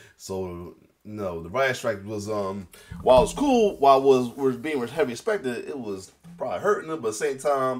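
Music plays in the background as a man talks at a medium pitch and moderate pace. His pitch swings very widely, and his loudness rises and falls sharply. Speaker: reaction video creator. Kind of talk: casual reaction commentary. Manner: halting.

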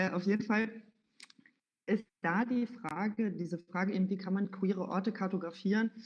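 Behind a woman's voice, the setting is quiet. Her delivery is moderately paced, and her pitch rises and falls in an ordinary way. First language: German. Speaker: event moderator. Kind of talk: event moderation. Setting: livestreamed event in a venue. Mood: friendly, relaxed. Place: home room. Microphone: headset.

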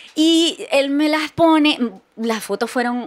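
A woman speaks at a very slow pace. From Venezuela, Barquisimeto. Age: 40s. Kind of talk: casual chat.

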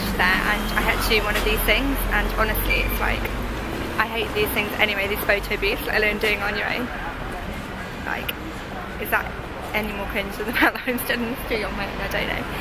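Speech runs at a fairly quick pace over loud background noise. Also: woman. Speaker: lifestyle vlogger. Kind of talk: casual vlog chat. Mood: cheerful, self-mocking. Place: street. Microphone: phone near.

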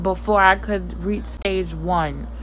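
A woman talks very slowly, with light noise audible behind her. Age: 30s. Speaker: lifestyle vlogger. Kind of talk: personal vlog rant. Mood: earnest personal rant. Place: home room. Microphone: phone near.

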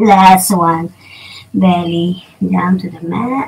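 This is a woman speaking. She has a Filipino accent. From Philippines. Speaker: yoga teacher. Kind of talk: guided yoga instruction. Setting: home recording, poor sound. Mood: calm, guiding. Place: home room. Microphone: camera far.

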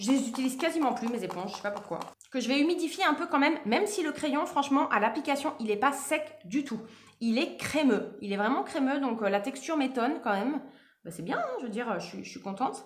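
A woman talks with a high pitch at a fairly quick pace. Her intonation is lively. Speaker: beauty video creator. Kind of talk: casual makeup tutorial chat. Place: home room. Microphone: phone near.

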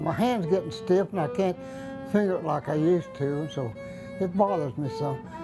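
With an American accent and lively intonation, a man speaks at a moderate pace and fairly high pitch while clear music plays in the background. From Kansas. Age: 80s+. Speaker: old-time fiddle player. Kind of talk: interview answer. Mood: calm, reflective. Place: home room.

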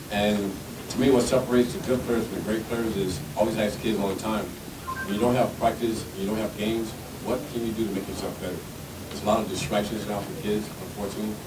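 A man speaks at a very fast pace against noticeable background noise. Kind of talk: interview answer. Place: meeting room. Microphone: podium.

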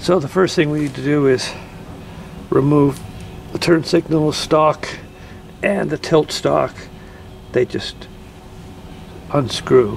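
Over light background noise, a man speaks very slowly, leaving long, frequent pauses. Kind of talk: tutorial. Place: car. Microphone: phone near.

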